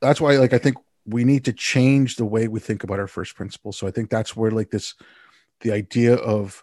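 In a Montreal accent, a man speaks at a fairly quick pace and medium pitch with a dark, mellow tone, sounding dry and close with no echo against a quiet background. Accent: Canadian (Montreal). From Montreal, Canada. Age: 50s. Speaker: podcast host. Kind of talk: casual interview chat.

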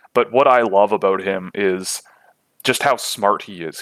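The recording is very clean, and its background silent. A man talks throughout. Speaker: hockey draft analyst. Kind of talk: interview.

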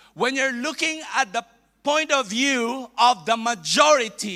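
In a Filipino accent, a man uses a raised, projected voice. His pitch is extremely high, with ordinary variation. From Philippines. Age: 50s. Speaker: bishop, visiting preacher. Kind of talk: sermon. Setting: church. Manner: halting.

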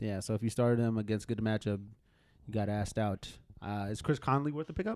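With ordinary pitch variation, the voice moves along at a very fast pace. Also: man, fairly low pitch for a man. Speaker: fantasy football podcast co-host. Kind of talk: casual chat.

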